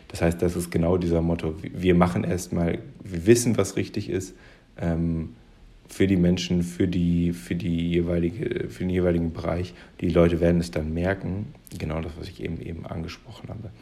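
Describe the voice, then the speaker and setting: A man speaks at a moderate pace in a very deep, low voice with a dark, mellow tone, fairly even intonation and big swings in loudness, with audible room echo. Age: 20s. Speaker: podcast host. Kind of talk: solo commentary monologue. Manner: halting, many fillers.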